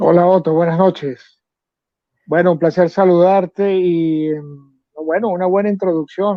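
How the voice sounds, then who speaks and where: Speaking at a fairly slow pace, the man has a high pitch and fairly even intonation. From Venezuela, San Cristóbal (Andes). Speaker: volunteer soldier. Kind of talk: interview. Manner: hesitant, many fillers.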